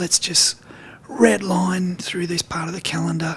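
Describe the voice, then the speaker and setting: Over noticeable background noise, a man speaks with a breathy, high voice. His pace is moderate. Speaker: guitar teacher and gigging musician. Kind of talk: video diary.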